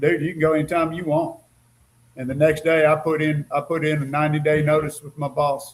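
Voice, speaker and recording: A man speaks with a somewhat breathy voice. His intonation stays flat and monotone. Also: fairly high pitch for a man, fairly quick pace. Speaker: retiree, co-host. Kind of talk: casual chat.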